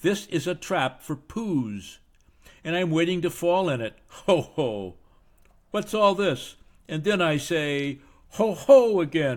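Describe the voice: A man's squeaky, put-on character voice, fairly high and very widely swinging in pitch, at a fairly slow pace, on a very clean recording with a silent background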